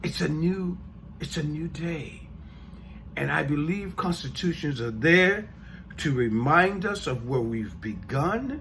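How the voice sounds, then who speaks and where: In a room with audible echo, a man with an American accent talks at a very slow pace, his fairly high voice moving with lively intonation. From United States. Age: 60s. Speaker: podcast host. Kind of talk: podcast monologue. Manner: halting, with self-corrections and repeated words.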